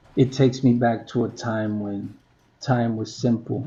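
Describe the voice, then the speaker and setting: Somewhat breathy and medium in pitch, a man's voice moves at a fairly slow pace. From New York, the Bronx (born Puerto Rico). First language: Spanish. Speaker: vlogger. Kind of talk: reflective monologue.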